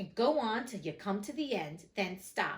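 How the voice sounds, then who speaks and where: Cackling in a put-on character voice, a woman swings her medium pitch very widely at a moderate pace. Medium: read story. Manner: pompous, blustering.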